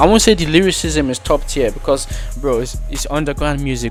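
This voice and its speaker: A man talks while music plays in the background. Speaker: gaming and music commentary streamer. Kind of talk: casual talk to camera. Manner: casual, slangy.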